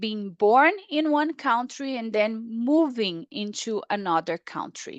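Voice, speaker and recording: A woman with a Portuguese accent speaks very slowly in a fairly high voice with very wide pitch swings. The sound is dry and close with no echo, against a quiet background. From Brazil. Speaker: paediatric surgeon. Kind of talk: webinar lecture.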